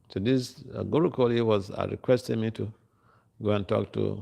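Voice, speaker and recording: A man speaks at a moderate pace. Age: 60s. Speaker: monk giving scripture class. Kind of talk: lecture. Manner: halting.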